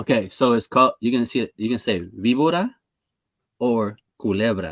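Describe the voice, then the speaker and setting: In a dry, close sound with no echo, a man talks at a medium pitch with ordinary pitch variation. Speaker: podcast host. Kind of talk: casual chat. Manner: fast.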